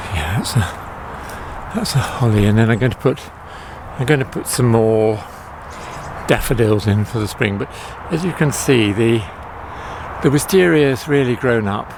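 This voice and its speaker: Using lively intonation and long, frequent pauses, a man speaks over noticeable background noise. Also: medium pitch for a man, moderate pace. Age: old. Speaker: home gardener vlogger. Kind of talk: casual garden tour video. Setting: outdoors in garden. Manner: hesitant, with many fillers.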